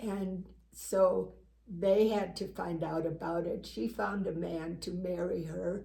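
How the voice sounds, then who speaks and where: A woman speaks very slowly in a fairly low, dark, mellow voice with vocal fry and ordinary pitch variation. Audible room echo is present. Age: 80s+. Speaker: talk show co-host. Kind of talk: personal testimony in casual chat.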